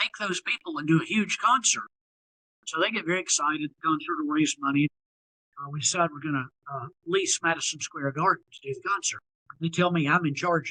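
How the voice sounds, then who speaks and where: A man's fairly high-pitched voice, bright and sharp in tone, fairly quick, with ordinary pitch variation, big swings in loudness, and a dry, close sound with no echo. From US South (Tennessee, North Carolina). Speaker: singer-songwriter. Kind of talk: interview storytelling. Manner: conversational.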